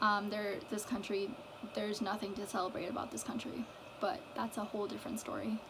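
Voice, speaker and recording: A woman with an American accent talks at a fairly quick pace, her intonation fairly even. Audible room echo and noticeable background noise surround her voice. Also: medium pitch for a woman. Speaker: mental health vlogger. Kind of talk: personal vlog monologue. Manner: stuttering; halting.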